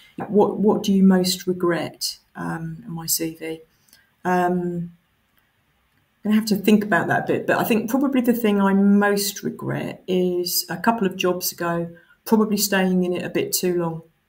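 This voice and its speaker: Speaking at a moderate pace in an Essex accent, a woman uses a medium pitch, somewhat breathy delivery and fairly even intonation. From Essex, England. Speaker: council chief executive. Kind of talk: interview answers. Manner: hesitant with fillers.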